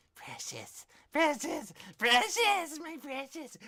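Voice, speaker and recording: A put-on character voice sits at a high pitch. It moves at a very slow pace. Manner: greedy, obsessive.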